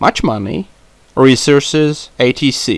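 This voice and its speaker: A man speaks at a medium pitch with a non-native accent. His pitch varies in an ordinary way. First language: not English. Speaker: YouTuber discussing comic book films. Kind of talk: solo podcast monologue. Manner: halting, many fillers. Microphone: non-professional mic, poor sound.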